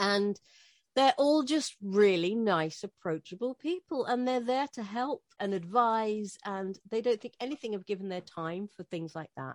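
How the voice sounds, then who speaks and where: With a medium pitch and lively intonation, a woman speaks at a fairly slow pace with big swings in loudness, on a very clean recording with a silent background and a dry, close sound with no echo. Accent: British. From Britain. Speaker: radio host. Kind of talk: interview.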